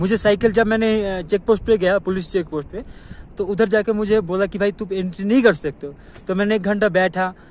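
Keeping a moderate pace, a man speaks with a high pitch. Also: fairly even intonation, dry sound with no echo. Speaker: cycle travel vlogger. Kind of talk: casual vlog chat. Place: open country. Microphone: phone near.

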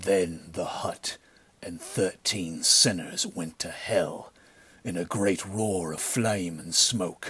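In a put-on character voice, a man speaks at a very slow pace, resonant and with a very deep, low pitch. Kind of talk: pulp adventure audiobook acting. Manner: cold, grim, stern; menacing.

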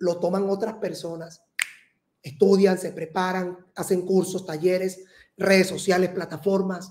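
A man is speaking. The background is quiet. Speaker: astrologer host. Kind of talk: horoscope reading monologue. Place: studio.

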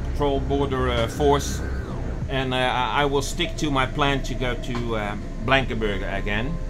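A man speaks at a fairly slow pace. Music plays in the background. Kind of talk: casual vlog chat. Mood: calm but concerned. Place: boat.

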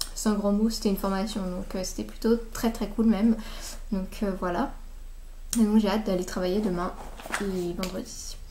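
Long, frequent pauses and fairly even intonation over light background noise. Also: woman, moderate pace. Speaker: beauty vlogger. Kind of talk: casual vlog. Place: home room. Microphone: webcam.

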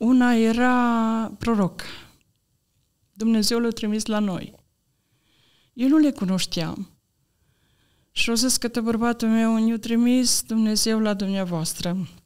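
A woman speaks at a very slow pace in a fairly high pitch, leaving long, frequent pauses. The background is quiet. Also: fairly even intonation. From Romania, Maramureș; Romania. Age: 60s. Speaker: church member giving testimony; podcast guest. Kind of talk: personal testimony. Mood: earnest, calm faith testimony. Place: studio. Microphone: studio mic.

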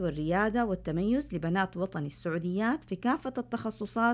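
A woman speaks at a moderate pace with very wide pitch swings on a very clean recording with a silent background. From Saudi Arabia, Medina (Hejaz). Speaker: scientist, university professor. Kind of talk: scripted narration. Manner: formal.

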